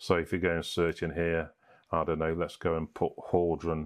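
A man's very deep, low voice against a quiet background. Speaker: presenter. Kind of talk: tutorial.

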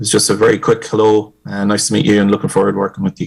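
A man speaks with an Irish accent. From Ireland. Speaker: project management consultant. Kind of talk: public meeting introduction. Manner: hesitant with many fillers.

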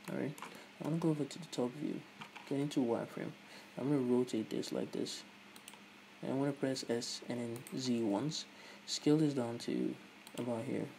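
Amid noticeable background noise, a man of medium pitch talks at a fairly quick pace with fairly even intonation and long, frequent pauses. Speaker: tutorial presenter. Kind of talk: tutorial. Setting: screen recording voiceover.

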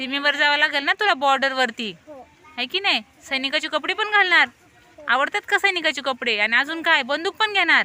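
Over noticeable background noise, a woman uses a raised, projected, high voice with lively intonation and big swings in loudness. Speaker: teacher. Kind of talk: classroom questioning of young pupils. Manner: encouraging, coaxing.

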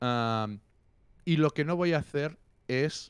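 Against a quiet background with a dry sound and no echo, a man talks at a very slow pace with lively intonation. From Catalonia. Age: 40s. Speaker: music critic and musician; interview guest, journalist. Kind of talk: casual interview. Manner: animated. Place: home room. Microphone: handheld.

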